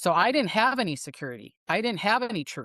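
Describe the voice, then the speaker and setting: In a dry, close recording with no echo and a quiet background, a woman talks at a medium pitch and a fairly quick pace. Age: 60s. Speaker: psychic. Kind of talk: casual chat. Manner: animated.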